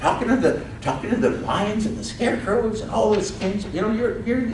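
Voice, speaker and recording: Someone talks at a fairly quick pace in an animated tone, with audible room echo and noticeable background noise. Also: woman. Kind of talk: interactive stage performance.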